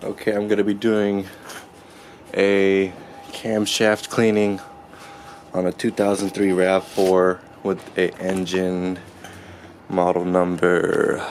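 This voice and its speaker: The speech moves at a very slow pace, broken by long, frequent pauses. Background noise is noticeable throughout. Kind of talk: car repair tutorial narration. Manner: casual.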